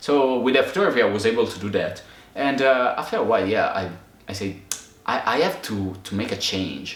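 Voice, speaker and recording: A man talks at a fairly quick pace with an Italian accent. Noticeable background noise and audible room echo fill the recording. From Italy. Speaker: photographer and video maker, channel co-host. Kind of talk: casual chat. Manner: halting, many fillers.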